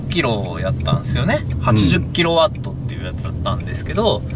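The sound is dry with no echo, and noticeable background noise can be heard. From Fukuoka, Japan. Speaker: car salesperson. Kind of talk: sales explanation in a car. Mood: friendly, relaxed. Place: car. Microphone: camera far.

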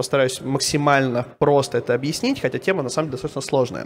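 A man speaks in a normal speaking voice with ordinary pitch variation. His pitch is fairly high, with light background noise behind him. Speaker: BIM company CEO. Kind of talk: conference talk. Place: hall. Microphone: handheld.

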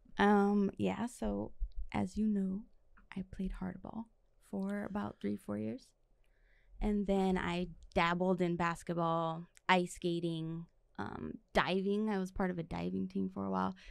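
With an American accent, a woman speaks at a fairly slow pace, her pitch fairly low and her intonation lively. The sound is dry with no echo, and the background is quiet. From East Los Angeles, California; California. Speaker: physician assistant; podcast guest. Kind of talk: casual chat. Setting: studio. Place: studio. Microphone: studio mic.

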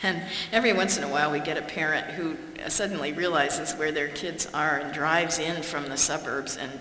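The speech moves at a moderate pace with ordinary pitch variation, light background noise and audible room echo. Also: woman. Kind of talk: public talk. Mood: warm, wry humour. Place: hall. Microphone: podium.

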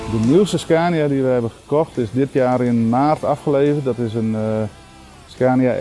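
Over faint background music, a man speaks at a fairly slow pace with fairly even intonation. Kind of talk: interview answer. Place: street. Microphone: lapel.

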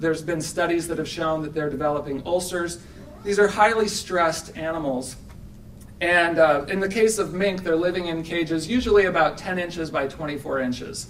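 With fairly even intonation, a man speaks at a high pitch and a moderate pace over light background noise. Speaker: speaker. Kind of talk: conference talk. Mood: earnest, persuasive advocacy. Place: hall. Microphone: podium.

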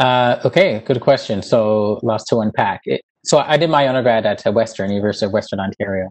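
A man talks with hardly any pauses and ordinary pitch variation. The background is quiet. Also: fairly quick pace. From Newfoundland, Canada (St. John's West End); Newfoundland. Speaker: dermatologist and professor; guest. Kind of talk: interview. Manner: hesitant, many fillers. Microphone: earbuds.

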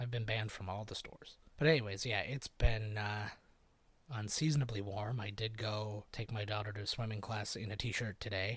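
In a very clean recording with a silent background, a man talks at a fairly quick pace, his fairly low voice somewhat breathy and fairly even in intonation. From Canada. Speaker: podcast host. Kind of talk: casual solo chat.

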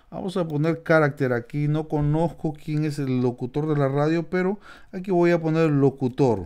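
Over a quiet background, a man with a fairly high pitch and a dark, mellow tone speaks at a moderate pace with ordinary pitch variation. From Peru, Lima. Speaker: YouTube instructor. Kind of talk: tutorial. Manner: casual, with fillers.

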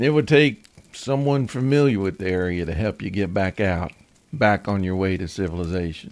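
Speaking in an ordinary speaking voice, a man with fairly low pitch uses lively intonation at a moderate pace. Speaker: podcast host. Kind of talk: horror story narration.

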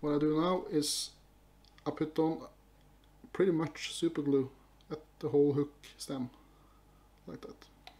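A man with a Norwegian accent, fairly high pitch, fairly slow pace, long, frequent pauses and fairly even intonation. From Norway. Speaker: fly-tying youtuber. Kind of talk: tutorial. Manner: halting. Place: home room.

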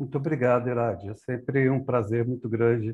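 A man speaks at a moderate pace in a dark, mellow tone that is somewhat breathy. His intonation stays fairly even. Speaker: community event host. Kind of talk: memorial tribute. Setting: video call. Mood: warm, solemn, reflective. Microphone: earbuds.

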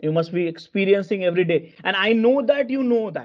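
The speaker moves at a fairly quick pace with lively intonation. Behind the voice, the background is quiet. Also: man. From India. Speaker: corporate software trainer. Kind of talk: live online training lecture. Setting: video call. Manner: halting, many fillers and repetitions. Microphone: video call.

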